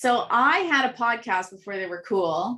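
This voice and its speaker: A woman talks loudly in an animated tone. Her voice is bright and sharp. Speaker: contest winner and author. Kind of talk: interview.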